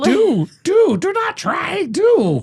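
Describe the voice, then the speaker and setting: The pitch is extremely high. It is a put-on character voice. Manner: cryptic, sage-like.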